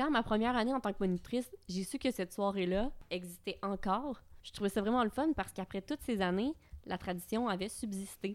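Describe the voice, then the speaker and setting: A woman speaks in a plain, everyday voice at medium pitch. She goes at a fairly quick pace with ordinary pitch variation. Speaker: podcast co-host. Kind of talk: casual chat.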